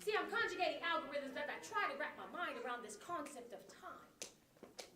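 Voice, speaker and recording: A woman is speaking. Her pitch swings very widely. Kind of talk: spoken word poetry performance. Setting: live performance before an audience. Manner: rhythmic, preaching.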